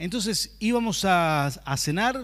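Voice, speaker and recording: A high-pitched male voice in a Rioplatense accent, with lively intonation, in a very clean recording with a silent background. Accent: Argentine Rioplatense Spanish (voseo). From Argentina, Rafaela, Santa Fe. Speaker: pastor. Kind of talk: sermon.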